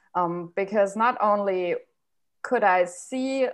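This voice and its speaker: A woman with a German accent at a medium pitch against a quiet background. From Germany. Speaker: university German lecturer. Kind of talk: casual chat.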